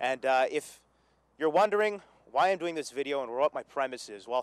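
Dry, with no echo, a man talks at a very fast pace and a fairly high pitch. His pitch variation is ordinary. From Quebec, Montreal. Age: 20s. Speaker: radio news and sports director; radio news. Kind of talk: mock sportscast audition. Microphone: handheld.

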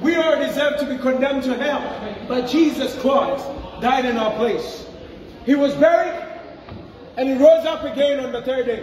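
A man speaks at an extremely high pitch with ordinary pitch variation and a slightly mellow tone, over faint background noise. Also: moderate pace.

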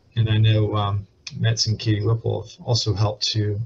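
A man with a fairly low pitch speaks at a moderate pace in monotone, flat intonation. His voice is somewhat breathy, with light background noise. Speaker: panelist. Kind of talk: panel discussion answer. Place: office. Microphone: video call.

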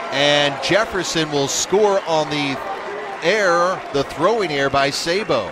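An energetic tone comes through at a fairly slow pace with ordinary pitch variation, over noticeable background noise. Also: man, high pitch for a man. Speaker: baseball play-by-play commentator. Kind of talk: live baseball commentary, highlight-reel play-by-play. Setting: baseball ballpark broadcast. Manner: energetic, clipped and rising in pitch on big hits.

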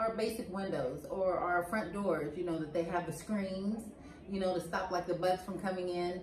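A speaker with an American accent uses fairly even intonation. Audible room echo and light background noise can be heard. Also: woman, moderate pace. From United States. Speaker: co-host on the American English side. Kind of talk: casual conversation. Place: home room.

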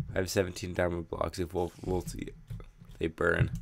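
Very deep and low, a man's voice moves at a moderate pace. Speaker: gaming youtuber. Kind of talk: let's play commentary. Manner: halting.

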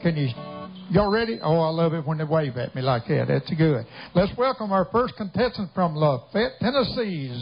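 Speaking at a moderate pace, a man is heard while faint music plays in the background. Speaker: contest announcer. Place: stage.

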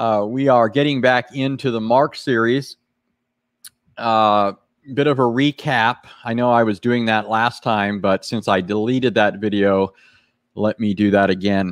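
A man speaks at a fairly slow pace with fairly even intonation. The sound is dry with no echo, and the background is quiet. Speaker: live stream host, Bible teacher. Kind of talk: casual live stream chat. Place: home room. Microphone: studio mic.

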